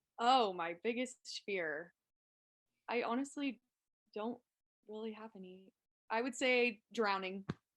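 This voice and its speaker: Speaking at a fairly slow pace with long, frequent pauses, a woman uses a fairly high pitch with ordinary pitch variation and big swings in loudness. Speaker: college basketball player. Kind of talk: casual interview.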